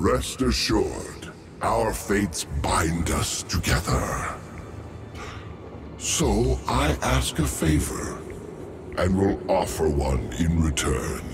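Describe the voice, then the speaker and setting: A man's put-on character voice, very deep and low in pitch, at a very slow pace with long, frequent pauses and clear background noise. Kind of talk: video game dialogue. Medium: video game. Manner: solemn, archaic phrasing.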